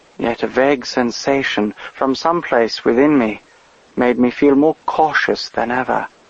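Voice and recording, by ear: Text is read aloud in a natural voice.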